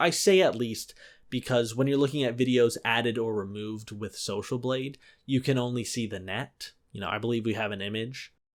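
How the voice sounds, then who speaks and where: In an unremarkable speaking voice, a man at medium pitch talks at a fairly quick pace on a very clean recording with a silent background. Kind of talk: comedic commentary to camera.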